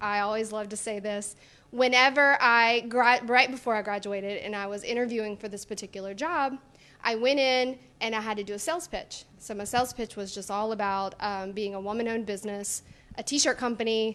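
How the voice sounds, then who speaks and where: A woman with a Louisiana accent and a bright, sharp tone at a fairly quick pace, ordinary pitch variation, on a very clean recording with a silent background. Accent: US Southern, Louisiana. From North Louisiana (small town). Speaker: business owner and blogger. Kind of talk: TV interview. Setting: on location in a showroom.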